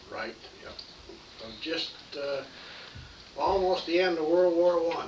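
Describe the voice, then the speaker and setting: Fairly slow, fairly even speech with an American accent, big swings in loudness, audible room echo and noticeable background noise. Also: man, high pitch for a man. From North Dakota, US. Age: 70s. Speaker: grandfather. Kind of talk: casual family interview. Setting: home, by a fireplace.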